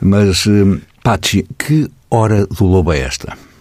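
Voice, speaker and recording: This man's voice has a very deep, low pitch. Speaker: radio host. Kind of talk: interview.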